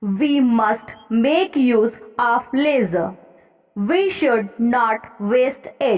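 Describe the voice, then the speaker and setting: Music plays in the background as a woman speaks at a very slow pace and a fairly high pitch, with ordinary pitch variation. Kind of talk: trial passage dictation, essay on leisure. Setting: exam hall dictation. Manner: slow, clear, steady pace.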